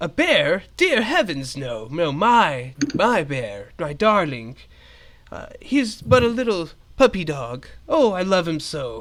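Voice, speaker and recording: Putting on a dramatic character voice, a man speaks huskily at a high pitch and a fairly slow pace. His pitch swings very widely and his loudness shifts greatly. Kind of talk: old-fashioned, theatrical. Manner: effusive, dramatic.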